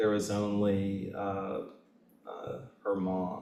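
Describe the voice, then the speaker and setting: A man with a Southern US accent speaks at a very slow pace in audible room echo. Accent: Southern US, kept. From Kentucky, Lexington. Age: 60s. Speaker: author. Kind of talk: Q&A discussion at a book reading. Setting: bookstore event with audience.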